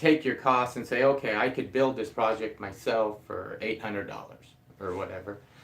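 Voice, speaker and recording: A man mumbles at a moderate pace. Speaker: DIY carpenter and video creator. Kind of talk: live stream chat. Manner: mumbling.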